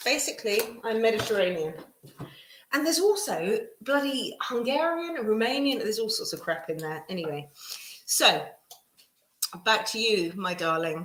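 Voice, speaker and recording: A woman with an English accent speaks in an animated tone at a fairly high pitch, with very wide pitch swings. Her moderate pace is broken by long, frequent pauses, and audible room echo is present. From England. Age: 50s. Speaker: tarot reader. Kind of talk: live stream tarot reading. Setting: live stream.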